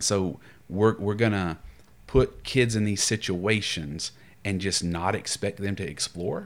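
A man's fairly low, ordinary speaking voice with an American accent, fairly even intonation and a fairly slow pace, on a very clean recording with a silent background. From US South. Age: 30s. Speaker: pastoral counselor. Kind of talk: casual chat.

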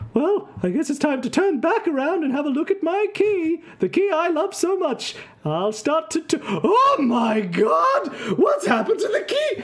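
Over light background noise, a man does a squeaky, put-on character voice at an extremely high pitch and a moderate pace. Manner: surprised, alarmed.

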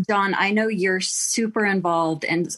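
A woman with an American accent and an ordinary speaking voice, at a fairly slow pace with ordinary pitch variation. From Texas. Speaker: activist mother. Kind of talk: interview.

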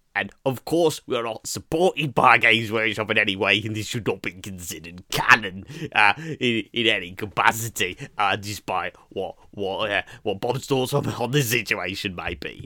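With hardly any pauses, a man speaks at a moderate pace and medium pitch with ordinary pitch variation. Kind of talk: comedy sketch. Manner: brisk, formal, apologetic.

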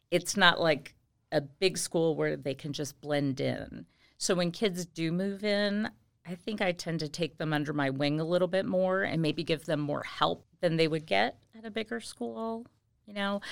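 A woman with an American accent and an ordinary speaking voice talks at a moderate pace, fairly low in pitch, with lively intonation. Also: very clean recording, silent background. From Indiana, US Midwest. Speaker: high school Spanish teacher. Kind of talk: casual interview. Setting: school podcast.

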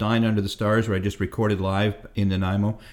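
Someone speaks at a very fast pace in a very clean recording with a silent background. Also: man. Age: 50s. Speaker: blues musician. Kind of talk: casual chat. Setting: home kitchen.

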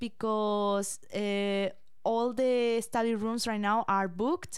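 A woman with a Spanish accent speaks very slowly at a fairly high pitch, with fairly even intonation. The recording is very clean and the background silent. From Spain. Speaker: podcast host, college student. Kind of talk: casual chat. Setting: studio.

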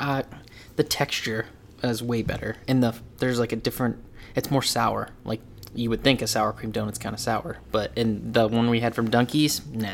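The intonation stays fairly even at a moderate pace. It is an unremarkable speaking voice. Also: man, medium pitch for a man. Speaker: podcast host. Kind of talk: casual chat. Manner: laughs often, jokey.

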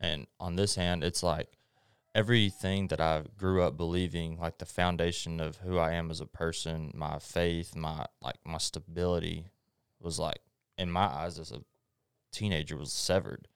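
A man with a Texan accent and a very deep, low pitch speaks at a moderate pace with fairly even intonation, the sound dry and close with no echo on a very clean recording with a silent background. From East Texas. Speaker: guest. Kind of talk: testimony.

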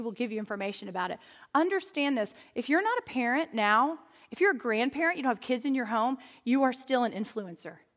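This woman talks at a very fast pace with an animated tone. Her pitch sits high. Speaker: pastor. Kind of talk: sermon. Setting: stage with audience.

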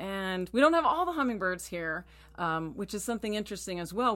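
A woman talks at a fairly quick pace with an American accent. The recording is very clean, with a silent background. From Texas. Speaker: podcast co-host, bird-feeding enthusiast. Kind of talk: casual chat.

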